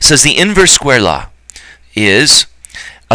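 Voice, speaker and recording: The voice has a bright, sharp tone. Vocal fry runs through it. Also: man. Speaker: high school physics teacher. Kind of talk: recorded lecture. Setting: recorded alone on camera for absent class. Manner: casual; fast.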